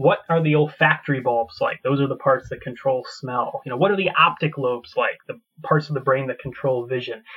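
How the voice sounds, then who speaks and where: At a fairly quick pace with hardly any pauses, a man with an American accent talks in a plain, everyday voice, fairly high in pitch and with ordinary pitch variation. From United States. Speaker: paleontologist and professor. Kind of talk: interview conversation.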